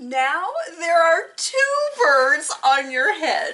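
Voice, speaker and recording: Her put-on character voice sits at an extremely high pitch. The woman's pace is very slow. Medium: read story. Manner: calm, matter-of-fact.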